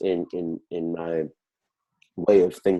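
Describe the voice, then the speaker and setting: The voice belongs to a man. His tone is dark and mellow against a quiet background. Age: young. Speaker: guest sharing mental health story. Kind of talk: testimony. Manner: loud and outspoken; halting, many repetitions.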